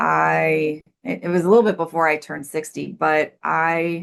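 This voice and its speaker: Over a quiet background, a woman with a Midwestern American accent speaks at a fairly slow pace. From US Midwest. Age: 60s. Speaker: life coach and recovery mentor. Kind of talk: podcast interview.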